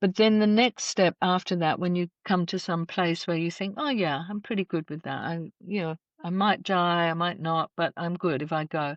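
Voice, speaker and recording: A woman with an Australian accent speaks at a moderate pace, her pitch fairly low and its variation ordinary. She barely pauses at all. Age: 60s. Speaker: death care educator and celebrant. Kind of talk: podcast interview. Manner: reflective, measured.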